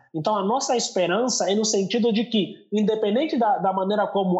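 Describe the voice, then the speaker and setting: The speaker is a man with an Angolan accent. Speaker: youth pastor. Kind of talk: casual chat.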